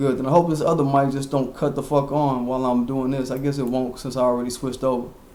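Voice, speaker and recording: Very fast, monotone, flat speech with hardly any pauses comes through noticeable background noise and audible room echo. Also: man, medium pitch for a man. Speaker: internet radio host. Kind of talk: casual commentary livestream. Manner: loud.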